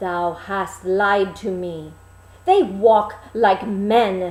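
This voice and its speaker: In a put-on character voice, a woman speaks very slowly at a medium pitch. Her intonation stays monotone and flat. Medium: read story. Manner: archaic, formal.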